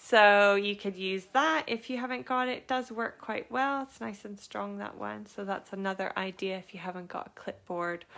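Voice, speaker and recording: A woman's bright, sharp voice at medium pitch, moderate in pace with hardly any pauses and big swings in loudness. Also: ordinary pitch variation. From Canada. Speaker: craft workshop teacher and small business owner. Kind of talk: live online craft tutorial. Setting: live stream from home studio, laptop beside. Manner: casual, hesitant with frequent fillers.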